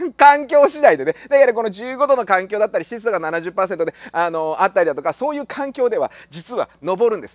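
Against a quiet background, a man talks at a fairly quick pace in an animated tone, his pitch extremely high with very wide swings, and the sound is dry with no echo. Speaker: tropical plant grower. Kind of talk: casual tutorial. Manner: halting with many fillers. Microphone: phone near.

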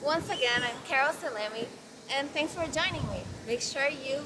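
High pitch from a woman at a moderate pace, ordinary pitch variation, and noticeable background noise behind her. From Brazil. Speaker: fitness model. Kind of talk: workout tutorial. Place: beach.

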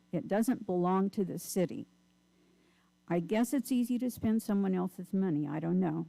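A woman with a dark, mellow tone and a medium pitch talks at a moderate pace with lively intonation. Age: 70s. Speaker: public commenter at city council. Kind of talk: public comment.

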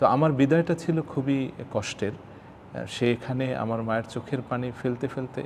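Ordinary pitch variation runs through this man's medium-pitched speech. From Bangladesh, Bagerhat (Khulna). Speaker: nasheed singer. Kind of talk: interview. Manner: halting.

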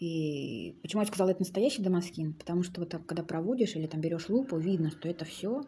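The voice is somewhat breathy and very fast. It runs on with hardly any pauses. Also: woman, fairly low pitch for a woman, ordinary pitch variation. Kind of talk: casual show-and-tell commentary. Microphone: phone near.

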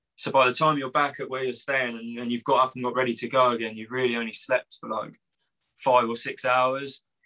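A man at a medium pitch with monotone, flat intonation, a fairly quick pace and a quiet background. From England. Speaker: punk band musician. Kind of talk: casual interview. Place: home room. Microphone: video call.

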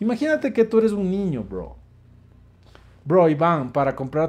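A man speaks in an animated tone with lively intonation. His pace is moderate, broken by long, frequent pauses. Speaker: live-stream host and dating coach; live-stream host, dating coach. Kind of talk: casual live stream answering chat questions. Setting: online live stream. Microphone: phone near.

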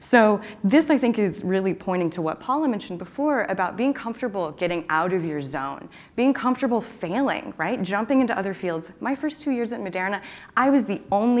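A woman's medium-pitched voice with an American accent, fairly quick pace and very wide pitch swings. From Texas, Austin; Texas. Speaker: computational chemist; conference speaker. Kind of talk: conference talk. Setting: stage with audience. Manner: animated. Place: hall.

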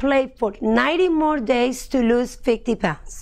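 A woman with a Spanish accent, high pitch, ordinary pitch variation and a fairly slow pace against a quiet background. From Colombia. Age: 30s. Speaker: personal trainer and health coach. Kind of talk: testimonial talk to camera. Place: studio. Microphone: lapel.

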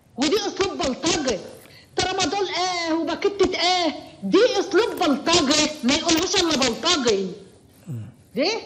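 With an Egyptian accent, a woman talks at an extremely high pitch with lively intonation and long, frequent pauses over noticeable background noise. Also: fairly slow pace. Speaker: caller. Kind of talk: phone-in commentary. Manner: emotional.

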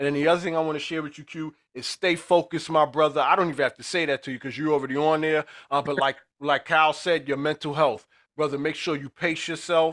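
A man's very fast, monotone, flat delivery at a fairly high pitch against a quiet background. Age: 50s. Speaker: podcast co-host and educator; podcast host. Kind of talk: interview. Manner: halting. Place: office. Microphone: studio mic.

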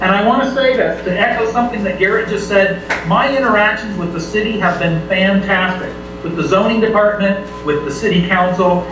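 Amid noticeable background noise and audible room echo, a man speaks at a fairly quick pace in a high pitch with ordinary pitch variation. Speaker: home sharing host at public meeting. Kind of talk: public meeting statement. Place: bar.

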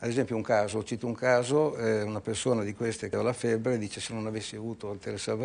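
A man's fairly low voice, very fast and monotone, with flat intonation. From Italy. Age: 60s. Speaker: entrepreneur; guest. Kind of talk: TV interview. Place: studio. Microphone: lapel.

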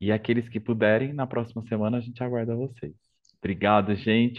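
Speaking fairly quickly, a man with an unremarkable speaking voice and medium pitch keeps his intonation fairly even. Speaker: academic coordinator. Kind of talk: event moderation. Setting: video call.

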